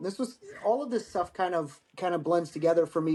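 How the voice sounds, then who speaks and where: A man with an American accent at a fairly quick pace, high in pitch with ordinary pitch variation. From Michigan. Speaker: war veteran. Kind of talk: casual chat.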